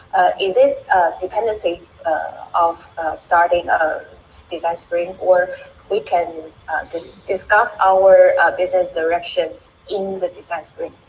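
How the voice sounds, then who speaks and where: There is noticeable background noise. Over it, a woman talks fairly slowly. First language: non-English. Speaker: audience member asking question. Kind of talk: question in live Q&A. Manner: halting.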